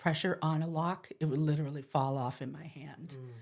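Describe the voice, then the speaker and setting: In an American accent, a woman with a very deep, low pitch speaks at a fairly quick pace on a very clean recording with a silent background. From Boston. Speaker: poet. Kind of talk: interview answer.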